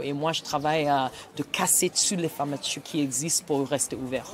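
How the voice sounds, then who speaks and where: A woman speaks with a Nigerian accent at a moderate pace. There is noticeable background noise. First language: Igbo (speaking French). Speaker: writer and storyteller. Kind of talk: interview. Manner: halting.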